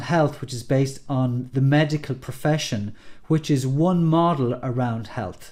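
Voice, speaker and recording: A man talks at a moderate pace with an Irish accent. His fairly high voice has ordinary pitch variation. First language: Irish Gaelic. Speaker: NLP coach. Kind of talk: tutorial. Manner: casual, some hesitations.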